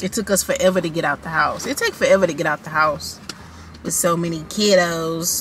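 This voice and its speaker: In a normal speaking voice, a woman talks at a fairly quick pace with fairly even intonation and a fairly low pitch, the sound dry with no echo and light background noise behind her. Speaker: family vlogger. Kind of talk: casual vlog chat. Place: car. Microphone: phone near.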